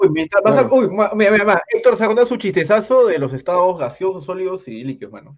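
A man with a high pitch talks at a fairly quick pace. His intonation is lively, and his loudness swings widely. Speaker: podcast co-host. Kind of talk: casual chat among friends. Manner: animated, laughing often.

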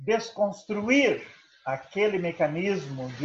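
A man talks very slowly, and audible echo from the room hangs around his words. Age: 70s. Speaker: professor. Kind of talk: lecture.

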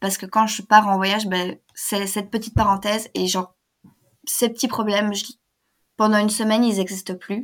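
In a very clean recording with a silent background, a woman with a fairly high pitch speaks in a monotone, flat way, leaving long, frequent pauses. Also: moderate pace. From Belgium. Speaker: language student, travel guest. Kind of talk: casual interview.

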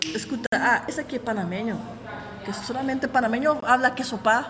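Amid noticeable background noise, a woman with a high pitch speaks at a moderate pace with fairly even intonation and long, frequent pauses. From Panama City area, Panama. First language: Spanish (speaking Portuguese). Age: 30s. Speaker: tour guide. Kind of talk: interview.

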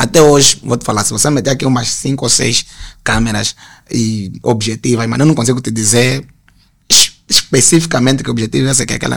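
At a fairly quick pace, a man talks at a medium pitch with vocal fry. His pitch variation is ordinary. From Luanda, Angola (Sambizanga). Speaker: graphic designer. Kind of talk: casual interview chat.

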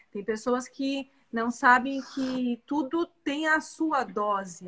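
A woman speaks in a high voice, her pitch moving with ordinary variation. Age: 40s. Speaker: physician. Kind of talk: casual chat.

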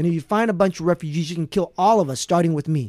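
A man speaks at a very fast pace in a high pitch. The very clean recording has a silent background and a dry, close sound with no echo. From Vietnam, raised in US. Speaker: prosecutor, political candidate. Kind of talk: interview.

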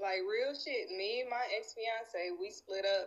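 With a Southern US accent, a woman speaks with ordinary pitch variation. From Nashville, Tennessee. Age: 30s. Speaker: guest. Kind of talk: casual chat.

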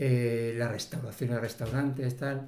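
A man's dark, mellow voice at medium pitch, with fairly even intonation and audible room echo. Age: 50s. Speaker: civil servant living with multiple sclerosis. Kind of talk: interview.

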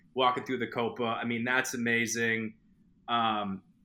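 A man with a Boston accent, medium pitch and a bright, sharp tone, at a fairly slow pace on a very clean recording with a silent background. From Boston, Massachusetts. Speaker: film fan guest. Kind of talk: casual chat.

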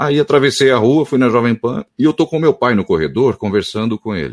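This man talks at a moderate pace with very wide pitch swings and vocal fry. The recording is very clean, with a silent background and a dry, close sound with no echo. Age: 30s. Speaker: radio announcer and voice-over artist. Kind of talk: interview.

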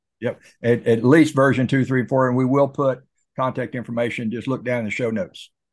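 A man with a plain, everyday voice talks at a fairly quick pace and medium pitch, his intonation fairly even against a quiet background. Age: 60s. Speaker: podcast host. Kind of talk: casual interview.

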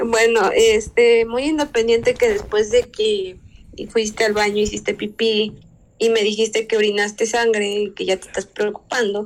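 At a fairly slow pace, a woman talks with a fairly high pitch and monotone, flat intonation, her loudness swinging widely. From Mexico, Veracruz (Poza Rica). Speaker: podcast co-host. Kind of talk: casual chat.

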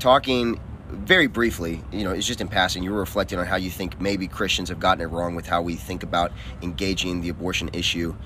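A man talks at a very fast pace with a Southern US accent. His pitch is very deep and low, yet his tone is bright and sharp. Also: ordinary pitch variation. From US South. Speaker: podcast host. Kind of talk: casual chat.

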